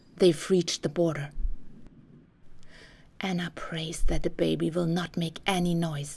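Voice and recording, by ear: A woman speaks fairly slowly at a fairly low pitch, her slightly mellow tone carrying a slightly husky edge and vocal fry, with fairly even intonation.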